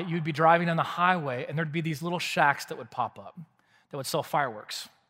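With a bright, sharp tone, a man in an American accent talks at a fairly quick pace and fairly high pitch on a very clean recording with a silent background. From Texas (Waco). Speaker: pastor. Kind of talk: sermon. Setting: church.

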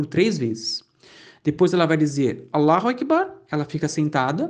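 A man speaks at a fairly high pitch and a fairly slow pace. The background is quiet. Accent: Brazilian. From Brazil. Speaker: Islam teacher, convert. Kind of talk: lecture. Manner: halting.

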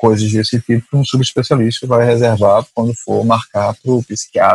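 A man speaks in a dry, close sound with no echo. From Recife, Brazil. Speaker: family doctor and professor. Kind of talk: casual discussion.

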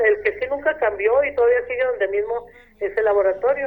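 With lively intonation, a woman talks at a moderate pace and a high pitch. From Mexico, Ciudad Madera, Chihuahua. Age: 60s. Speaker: retired teacher. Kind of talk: radio interview. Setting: phone call.

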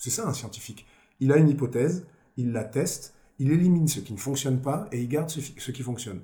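A man's somewhat breathy voice with a dark, mellow tone, medium pitch and ordinary pitch variation, at a fairly quick pace with audible room echo. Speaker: blues rock singer. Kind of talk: casual chat.

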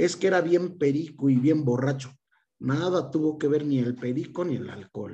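The dark, mellow tone comes at a fairly slow pace, somewhat breathy, with ordinary pitch variation. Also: man. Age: 40s. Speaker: chronic illness patient and social media creator. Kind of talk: interview conversation. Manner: animated; halting.

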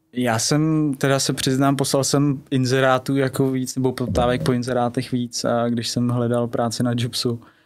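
At a moderate pace and with hardly any pauses, a man speaks in a flat monotone. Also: medium pitch for a man. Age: 20s. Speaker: real estate agent. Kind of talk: interview. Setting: studio.

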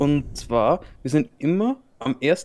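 A man with an Austrian accent, very slow pace and lively intonation. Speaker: podcast host. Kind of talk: casual chat.

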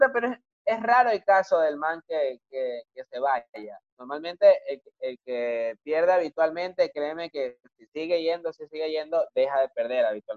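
A man speaks in a normal speaking voice at a fairly slow pace with hardly any pauses, his fairly high pitch lively in intonation and his loudness swinging widely. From Ecuador, Guayaquil. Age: 20s. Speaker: rapper. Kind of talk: casual chat.

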